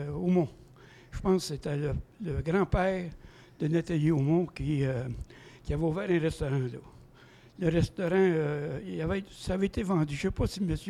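Pausing long and often, a man with a fairly high pitch and a dark, mellow tone speaks at a moderate pace with ordinary pitch variation. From Quebec (Saint-Félix, Lanaudière). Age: 70s. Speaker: guest's father-in-law. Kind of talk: storytelling.

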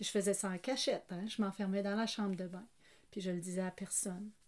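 Her dark, mellow tone comes through on a very clean recording with a silent background. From Acadia. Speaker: retired teacher. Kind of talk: personal testimony. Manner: laughing often.

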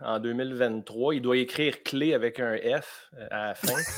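Noticeable background noise sits behind a man of medium pitch who speaks with a Quebec accent and ordinary pitch variation. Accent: Québécois French. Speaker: comedian. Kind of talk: comedic quiz show.

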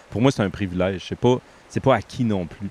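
Fairly low in pitch with ordinary pitch variation, a man talks in an unremarkable speaking voice. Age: 50s. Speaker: podcast host. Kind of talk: casual chat. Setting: outdoors.

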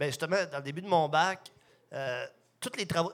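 A man with an ordinary speaking voice, ordinary pitch variation and a fairly quick pace. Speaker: microbrewery co-owner. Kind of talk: casual chat.

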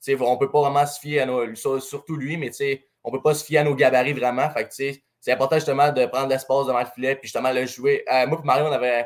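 At a fairly quick pace, a man talks in a fairly high pitch with monotone, flat intonation. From Saguenay, Quebec. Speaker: junior hockey goalie. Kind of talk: casual interview.

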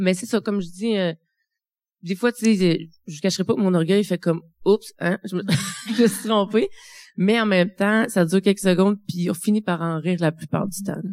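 A woman speaks at a medium pitch and a moderate pace with fairly even intonation. Long, frequent pauses break up her speech. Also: dry, close sound with no echo. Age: 40s. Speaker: midwife living with early-onset Alzheimer's. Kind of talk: testimony. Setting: stage with audience. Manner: halting.

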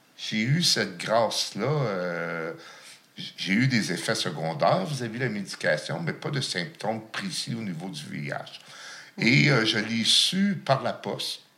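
With very wide pitch swings around a medium pitch, a man speaks at a very slow pace amid noticeable background noise and audible room echo. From Outaouais, Quebec (Gatineau). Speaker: chef living with HIV. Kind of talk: testimony. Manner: halting.

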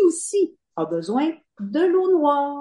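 A dark, mellow tone with very wide pitch swings. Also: woman. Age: 50s. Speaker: novelist. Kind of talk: interview.

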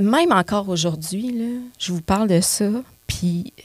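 This woman's voice is somewhat breathy, at a medium pitch. She talks at a very slow pace with ordinary pitch variation. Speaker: comedian and actress. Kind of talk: casual chat. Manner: animated.

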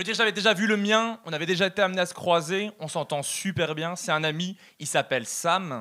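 A man with a Belgian accent talks at a fairly quick pace in a high pitch, with a bright, sharp tone. His pitch varies in an ordinary way while his loudness swings widely. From Belgium. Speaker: stand-up comedian. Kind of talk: stand-up. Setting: stage with audience.

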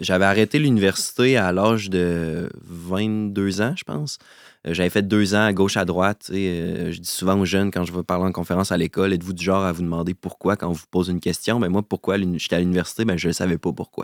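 In a Quebec accent, a man speaks with a very deep, low voice, ordinary pitch variation and a fairly quick pace. The recording is very clean, with a silent background. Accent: Québécois French. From Quebec City. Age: 30s. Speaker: entrepreneur. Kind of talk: interview.

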